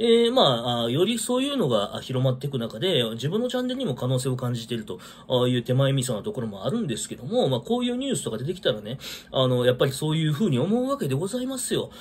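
A man rattles along at a very fast pace with hardly any pauses. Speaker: vlogger. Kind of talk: casual solo talk commenting on news. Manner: rambling, filler-heavy, casual. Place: home room. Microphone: phone near.

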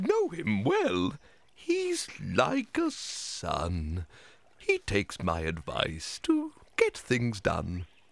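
At a very slow pace, a put-on character voice lilts along in a sing-song way. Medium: audio drama. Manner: sing-song, rhyming.

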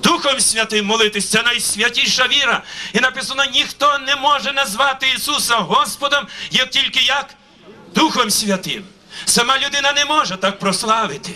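A man speaks at an extremely high pitch in a raised, projected voice. His loudness stays very even. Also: ordinary pitch variation, moderate pace. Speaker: pastor. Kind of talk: sermon. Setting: church. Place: open country. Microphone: handheld.

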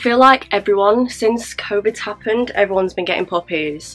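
A woman talking at a fairly quick pace over faint music in the background. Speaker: beauty vlogger. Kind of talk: casual vlog chat. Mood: relaxed, cheerful. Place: home room. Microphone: camera far.

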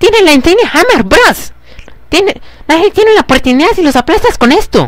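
A put-on character voice, extremely high in pitch and nervous in tone, at a moderate pace over light background noise. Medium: game stream. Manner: nervous, excitable.

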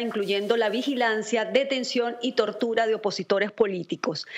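Amid noticeable background noise, a woman talks at a moderate pace. Her fairly high voice has fairly even intonation. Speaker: Venezuelan opposition activist. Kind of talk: political commentary.

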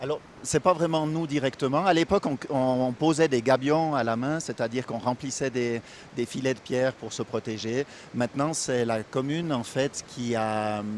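Recorded dry with no echo over light background noise, a man speaks at a moderate pace with ordinary pitch variation. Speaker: mountain guide. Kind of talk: interview answer. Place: waterside. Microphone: handheld.

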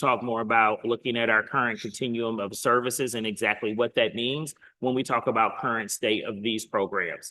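A man's ordinary speaking voice, medium in pitch, at a fairly quick pace with hardly any pauses and fairly even intonation. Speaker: school district administrator. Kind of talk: board meeting presentation.

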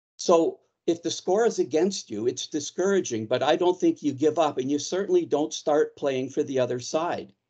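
Against a quiet background, a man with a fairly high pitch speaks at a moderate pace with hardly any pauses, his passionate, dark, mellow tone showing ordinary pitch variation. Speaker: town councillor. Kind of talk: heated debate. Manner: passionate, forceful. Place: home room. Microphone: video call.

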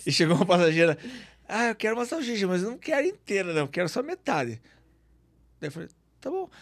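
Against a quiet background, a man with a high pitch talks at a fairly quick pace, his pitch swinging very widely and broken by long, frequent pauses. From Curitiba, southern Brazil; Paraná, Brazil. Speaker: aurora tour guide and businessman; aurora tour guide. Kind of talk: casual chat. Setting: studio. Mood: amused storytelling. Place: studio. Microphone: studio mic.

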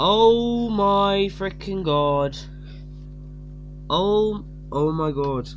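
With lively intonation, a man speaks while music runs in the background. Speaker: gaming YouTuber. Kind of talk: casual gameplay commentary.

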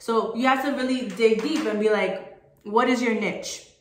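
A woman's fairly high, animated voice at a moderate pace, with audible room echo. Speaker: motivational group call host. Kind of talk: motivational talk.

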